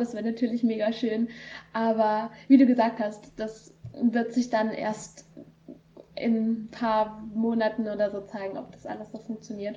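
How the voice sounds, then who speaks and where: A woman speaks at a moderate pace with a fairly high pitch. Her tone is dark, mellow and somewhat breathy, and her loudness swings widely. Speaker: volunteer kindergarten worker. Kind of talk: casual interview. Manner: hesitant, many fillers.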